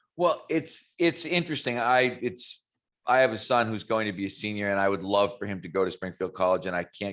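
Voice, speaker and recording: A man with an American accent and an unremarkable speaking voice talks at a fairly quick pace and a fairly low pitch, with ordinary pitch variation and a quiet background. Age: 60s. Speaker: strength and conditioning coach. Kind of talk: interview.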